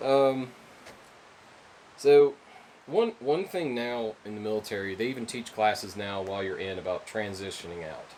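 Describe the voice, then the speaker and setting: Speech with ordinary pitch variation proceeds at a moderate pace, noticeable background noise audible throughout. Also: man. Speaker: military veteran. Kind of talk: interview questions.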